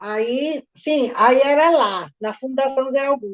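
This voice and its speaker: With a dry, close sound and no echo, a woman speaks in a high pitch with ordinary pitch variation. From Brazil, Natal (Rio Grande do Norte). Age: 70s. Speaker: retired history teacher. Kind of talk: oral history interview.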